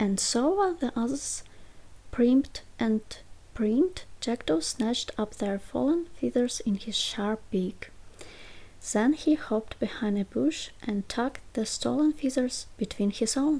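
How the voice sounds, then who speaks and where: Soft-spoken and whispering, a woman talks at a fairly slow pace in a gentle tone. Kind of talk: ASMR bedtime story reading. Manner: soft-spoken, whispering, gentle.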